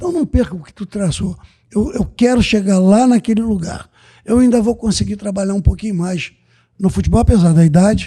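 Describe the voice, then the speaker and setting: With ordinary pitch variation, a man speaks fairly quickly in a high, dark, mellow voice. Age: 70s. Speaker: football coach. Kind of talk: casual chat.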